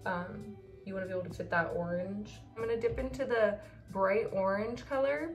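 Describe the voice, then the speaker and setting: A woman talks at a fairly quick pace while music plays clearly behind her. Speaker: beauty vlogger. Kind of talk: makeup tutorial chat. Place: home room. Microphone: phone near.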